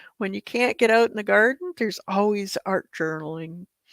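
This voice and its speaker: A woman's medium-pitched voice at a fairly slow pace, with lively intonation and a dry, close sound with no echo. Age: 60s. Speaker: art teacher. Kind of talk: live-streamed art tutorial. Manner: casual, chatty.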